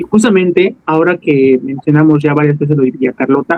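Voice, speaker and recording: The man talks in a fairly high register. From Tabasco, Mexico. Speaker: podcast host. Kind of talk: interview. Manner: halting.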